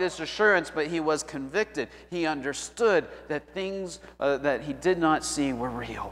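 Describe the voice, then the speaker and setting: With music in the background, a man talks at a moderate pace with ordinary pitch variation. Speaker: pastor. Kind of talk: sermon. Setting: church; PA system. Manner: halting, repeats words. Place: church.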